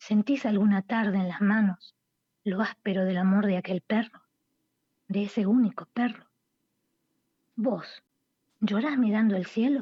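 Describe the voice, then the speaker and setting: In a dry, close sound with no echo, a woman speaks at a fairly slow pace with a dark, mellow, somewhat breathy tone and long, frequent pauses. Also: medium pitch for a woman, fairly even intonation. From Buenos Aires, Argentina. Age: 60s. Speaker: poet and writer. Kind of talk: radio interview, casual chat. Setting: remote call to radio show.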